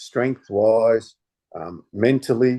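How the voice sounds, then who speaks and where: Here a man with an Australian accent speaks in a dark, mellow tone. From Australia and Denmark/Netherlands. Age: 60s. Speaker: former stuntman and martial artist. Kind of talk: casual interview chat. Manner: halting with many repetitions.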